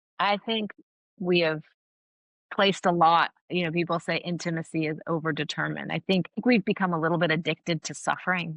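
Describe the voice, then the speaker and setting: A woman's fairly low voice in an American accent, fairly quick, with a dry, close sound with no echo and a quiet background. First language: Farsi. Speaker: academic and author. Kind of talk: interview. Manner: animated.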